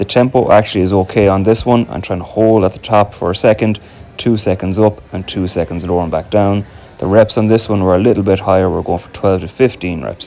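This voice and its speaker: Against noticeable background noise, a man with an Irish accent speaks fairly quickly at a fairly low pitch with fairly even intonation. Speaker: amateur Gaelic footballer and fitness vlogger. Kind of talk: gym vlog voiceover narration.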